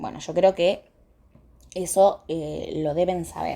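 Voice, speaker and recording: Background noise is clearly present. Over it, a woman speaks at a medium pitch. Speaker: dermatology lecturer. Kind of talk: lecture.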